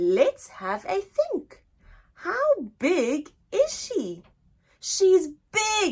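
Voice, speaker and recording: Using a put-on character voice, a woman speaks at an extremely high, squeaky pitch. She goes very slowly, with long, frequent pauses. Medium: read story. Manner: eager, confident.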